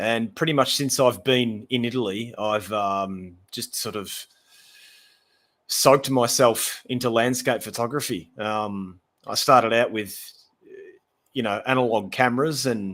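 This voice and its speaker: A man with an Australian accent speaks fairly slowly at a medium pitch, leaving long, frequent pauses. His intonation is fairly even, on a very clean recording with a silent background. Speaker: landscape photographer. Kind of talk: casual chat. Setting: live stream.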